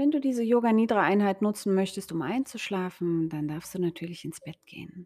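Using an unremarkable speaking voice at a medium pitch, a woman talks with lively intonation and big swings in loudness. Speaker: yoga teacher and health coach. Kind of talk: guided meditation (yoga nidra). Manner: slow, soft, calm and soothing; gentle pacing with pauses.

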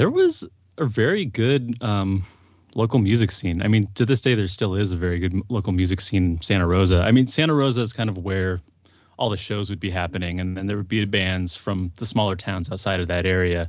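A man with a fairly low pitch talks at a fairly quick pace, his pitch varying in an ordinary way. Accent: American. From US West Coast, Sonoma County California. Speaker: musician, band frontman. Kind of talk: casual interview chat.

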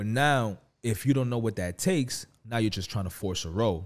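A man with a dark, mellow tone speaks at medium pitch and a moderate pace. His pitch varies in an ordinary way, on a very clean recording with a silent background. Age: 20s. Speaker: podcast co-host. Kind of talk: casual chat. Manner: animated.

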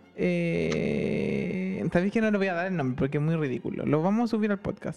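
The speaker talks at a moderate pace with a Chilean accent. The tone is animated. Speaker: podcast co-host. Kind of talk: casual comedic chat. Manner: animated, frequent laughter.

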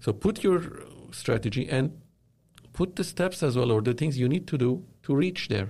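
This man speaks at a moderate pace in a medium, somewhat breathy voice with a dark, mellow tone, lively intonation, very even loudness, and long, frequent pauses. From Lebanon. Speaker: media company founder. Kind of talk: interview. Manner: hesitant, many fillers.

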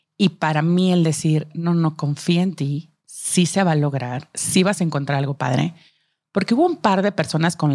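A woman with a slight Monterrey accent speaks at a fairly slow pace, her pitch varying in an ordinary way. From Monterrey, northern Mexico. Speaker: marketing executive, working mom. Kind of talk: casual interview chat. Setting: studio.

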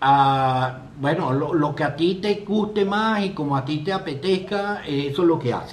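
This man's voice sits fairly high for a man, with ordinary pitch variation. He talks at a fairly slow pace with hardly any pauses. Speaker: live stream host. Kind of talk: casual chat.

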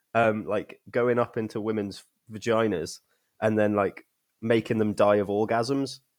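A man with an English accent and a fairly low pitch speaks at a fairly slow pace. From England. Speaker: podcast host. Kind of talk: casual chat. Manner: animated.

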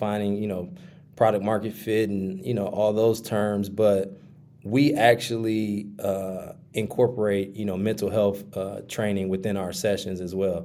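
A man speaks in a dark, mellow tone. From Milwaukee, Wisconsin. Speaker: startup founder. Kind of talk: interview. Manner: casual, many fillers.

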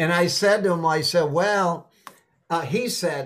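With an American accent, a man speaks. His pitch is high. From Boston, Massachusetts, US. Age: 70s. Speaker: sales trainer. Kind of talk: interview.

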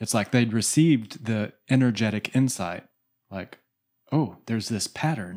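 A man with an ordinary speaking voice talks at a medium pitch and a fairly slow pace on a very clean recording with a silent background. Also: ordinary pitch variation. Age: 40s. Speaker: spiritual podcast co-host. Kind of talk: spiritual discussion. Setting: studio.

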